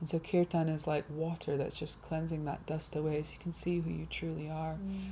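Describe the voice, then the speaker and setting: A woman talks at a fairly quick pace. She has a southern English accent. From England, Hertfordshire. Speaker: musician and writer. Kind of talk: interview. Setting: studio.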